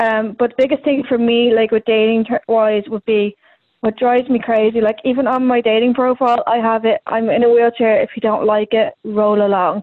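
A woman speaks at a moderate pace in a fairly high pitch, her intonation monotone and flat and her loudness very even. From Ireland, Dublin. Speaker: comedian. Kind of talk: casual interview.

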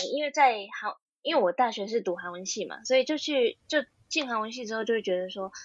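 A woman talks at a fairly quick pace with very wide pitch swings. Her loudness rises and falls in big swings. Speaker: graduate student and part-time translator. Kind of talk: casual interview chat.

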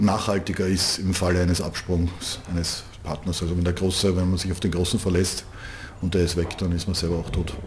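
A man with a very deep, low pitch speaks at a moderate pace. Audible room echo and noticeable background noise fill the recording. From Austria, Vienna. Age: 50s. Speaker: handball club manager. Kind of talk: interview. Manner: repeats words, hesitant fillers.

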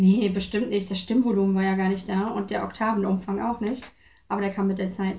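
A woman's somewhat breathy, medium-pitched voice in a monotone, flat delivery. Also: fairly quick pace. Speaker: interview guest, choir singer. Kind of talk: casual interview. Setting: home visit.

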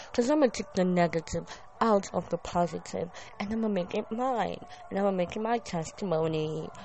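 The voice moves at a fairly quick pace with ordinary pitch variation. Noticeable background noise is present. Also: woman. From Kenya, Nairobi. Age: 20s. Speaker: podcast host. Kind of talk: casual monologue.

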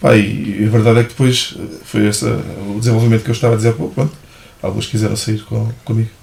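With noticeable background noise, a man talks at a very fast pace, medium in pitch with ordinary pitch variation. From Portugal, Ribatejo (Santarém/Almeirim). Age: 30s. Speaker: athletics coach. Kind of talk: casual interview.

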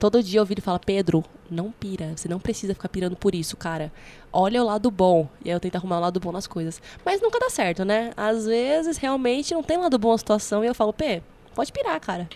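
Talking at a very fast pace with lively intonation, a woman is heard over noticeable background noise. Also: medium pitch for a woman. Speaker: podcast co-host. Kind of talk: casual chat. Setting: studio.

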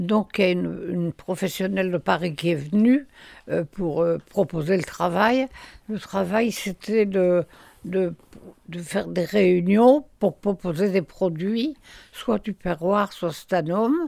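Very slowly, a woman speaks at a medium pitch in a dark, mellow tone with ordinary pitch variation. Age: 90s. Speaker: retired home sales organiser. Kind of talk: interview, life memories. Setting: retirement home. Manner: halting.

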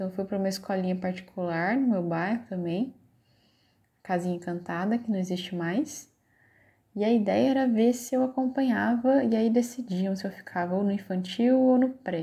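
A woman's medium-pitched, somewhat breathy voice with a dark, mellow tone, lively intonation and long, frequent pauses. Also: very clean recording, silent background. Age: 30s. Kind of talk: personal narrative. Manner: halting, many fillers.

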